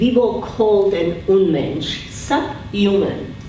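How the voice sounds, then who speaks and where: Noticeable background noise and audible room echo surround the recording. A woman speaks at a medium pitch. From Czechoslovakia. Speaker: Holocaust survivor speaker. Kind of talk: testimony. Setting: school assembly with student audience.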